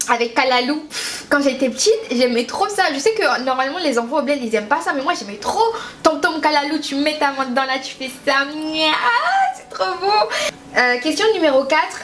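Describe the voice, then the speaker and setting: A woman speaks at a high pitch with lively intonation and big swings in loudness. Noticeable background noise sits behind her. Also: moderate pace. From Haiti, moved to France at six or seven. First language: Haitian Creole (speaking French). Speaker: beauty youtuber. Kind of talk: casual vlog chat. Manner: chatty, lots of hesitations.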